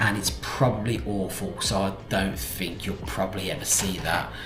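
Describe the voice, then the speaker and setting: A man's voice comes with noticeable background noise and audible room echo. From English Midlands, South Staffordshire. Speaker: vlogger. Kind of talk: casual chat to camera. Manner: halting, with many fillers and restarts.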